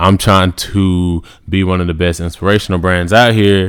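In a very clean recording over a silent background, a man speaks at a very deep, low pitch. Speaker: podcast host. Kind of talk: motivational monologue. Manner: casual, halting with fillers.

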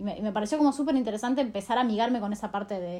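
A woman's fairly high pitch with ordinary pitch variation. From Argentina. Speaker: scholarship alumna. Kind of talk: recorded audio message.

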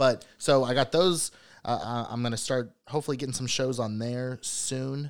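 On a very clean recording with a silent background, a man at medium pitch with an American accent uses an ordinary speaking voice at a moderate pace with ordinary pitch variation. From US Midwest, Cincinnati. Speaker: stand-up comedian. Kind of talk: casual chat.

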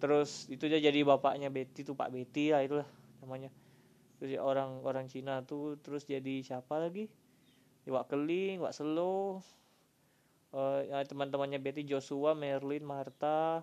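Here a man speaks at a moderate pace. His voice sits fairly high. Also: fairly even intonation. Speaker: solo podcaster. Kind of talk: casual monologue. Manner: halting, many fillers; relaxed.

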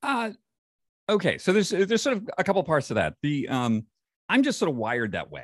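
A man with a Northeastern US accent speaks at a fairly quick pace, with a high pitch and very wide pitch swings. He leaves long, frequent pauses against a quiet background. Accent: American (Northeastern). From western New York. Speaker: health and longevity publisher and podcaster. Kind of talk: interview conversation.

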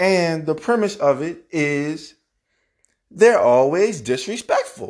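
Over a quiet background, a man talks at a very slow pace, his high voice moving with lively intonation. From New Orleans, Louisiana; West Bank of New Orleans. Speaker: podcast host. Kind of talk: casual solo monologue podcast intro. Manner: casual, candid, profane.

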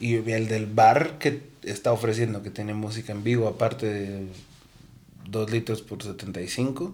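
A man talks in an ordinary speaking voice at medium pitch. His pace is fairly slow, with ordinary pitch variation. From Guatemala City. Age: young. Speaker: musician and music promoter. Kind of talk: casual chat.

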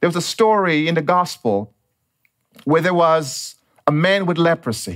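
A man speaks in a high voice with lively intonation, stopping often for long pauses. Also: moderate pace. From Dominica. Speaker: pastor. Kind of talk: sermon.

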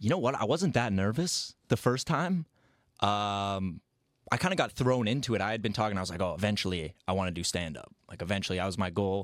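Fairly quick and lively in intonation, a man speaks in an ordinary speaking voice at a fairly low pitch on a very clean recording with a silent background. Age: 20s. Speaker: writer and director. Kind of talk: casual chat.

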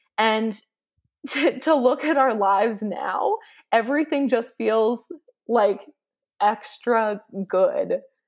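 A woman with a Canadian accent, fairly high in pitch with ordinary variation, very slow with long, frequent pauses, on a very clean recording with a silent background. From Canada. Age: 20s. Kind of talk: interview.

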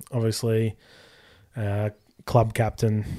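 An Australian accent comes from a man with a medium-pitched voice. The recording is very clean, with a silent background. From Australia, Sydney. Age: 20s. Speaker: sports podcast co-host. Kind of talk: casual chat.

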